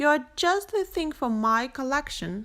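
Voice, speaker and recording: On a very clean recording with a silent background, a woman does a put-on character voice at a high pitch and a fairly slow pace. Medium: read story. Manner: fussy, flustered.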